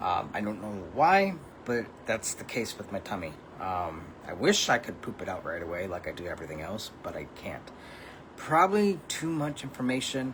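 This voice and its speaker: A man's medium-pitched voice with very wide pitch swings at a moderate pace, over noticeable background noise. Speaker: vlogger. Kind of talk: casual monologue vlog. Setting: at home. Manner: halting, many fillers.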